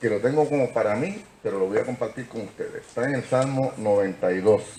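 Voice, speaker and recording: Over noticeable background noise and audible room echo, a man talks at a fairly quick pace. His medium-pitched voice carries lively intonation. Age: 70s. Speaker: lawyer. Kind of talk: lecture.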